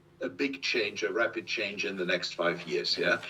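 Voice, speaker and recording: A man speaks fairly slowly, and noticeable background noise runs beneath him. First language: German. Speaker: industry expert. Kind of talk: interview. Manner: reading from notes; halting.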